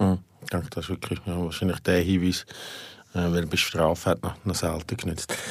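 On a very clean recording with a silent background, a man with a very deep, low pitch talks at a fairly quick pace with fairly even intonation and long, frequent pauses. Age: 40s. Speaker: podcast host and editor. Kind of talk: casual interview. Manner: halting.

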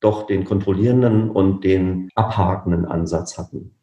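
The man's voice sits fairly low, with a dark, mellow tone and a somewhat breathy quality. His intonation stays fairly even. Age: 40s. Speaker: management consultant, former insurance executive. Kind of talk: interview.

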